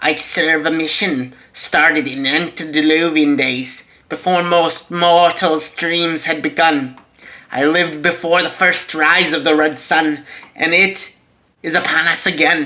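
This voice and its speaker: Middle in pitch, a put-on character voice moves along at a fairly slow pace. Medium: read story. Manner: grave, formal.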